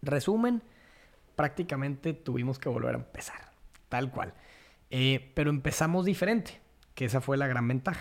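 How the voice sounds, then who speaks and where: Moderate-paced speech from a man, fairly high in pitch, with long, frequent pauses and ordinary pitch variation. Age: 30s. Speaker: landscaper and biophilia advocate. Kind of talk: casual interview.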